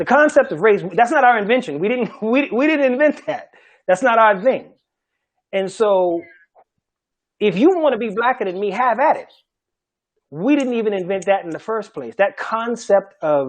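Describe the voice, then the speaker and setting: A man with an American accent, high pitch, lively intonation, a moderate pace and long, frequent pauses. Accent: Gullah Geechee. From Charleston, South Carolina. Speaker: Gullah language teacher. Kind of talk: panel discussion talk.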